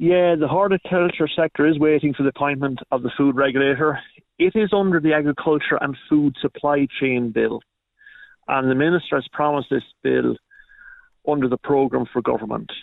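A man speaks with an Irish Midlands accent at a fairly high pitch. His pitch variation is ordinary and his loudness very even. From Ireland, County Longford. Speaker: fruit farmer. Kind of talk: radio interview.

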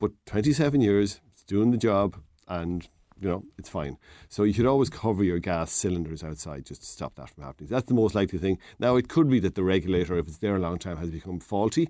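A dark, mellow tone in an Irish Midlands accent comes at a very fast pace, with lively intonation and big swings in loudness. The recording is very clean, with a silent background. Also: man, very deep, low pitch for a man. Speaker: DIY expert. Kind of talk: casual radio chat, DIY advice. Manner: friendly, joking.

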